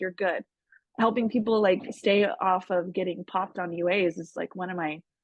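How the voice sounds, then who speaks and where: An unremarkable speaking voice from a woman, at a moderate pace with ordinary pitch variation, dry and close with no echo. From Southern California. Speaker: army medic veteran, foundation director. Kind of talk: guest talk with Q&A.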